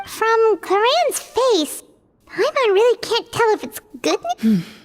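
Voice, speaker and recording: Squeaky and extremely high-pitched, a put-on character voice comes through at a fairly slow pace. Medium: video game. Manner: excitable, chatty.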